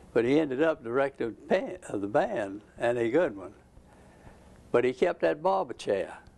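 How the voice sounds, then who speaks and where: A man talks with a Georgia accent and lively intonation. He leaves long, frequent pauses. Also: medium pitch for a man, moderate pace. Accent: Southern American (Georgia). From Georgia, USA. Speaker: retired ceramic engineer, Georgia Tech alumnus. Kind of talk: oral history interview answer. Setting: at home.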